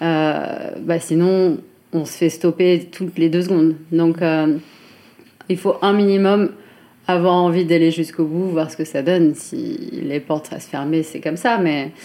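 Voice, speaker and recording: A woman speaks at a fairly low pitch with fairly even intonation, her loudness swinging widely. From France, Chartres area. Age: 30s. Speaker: fashion brand founder. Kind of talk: interview. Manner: hesitant, many fillers.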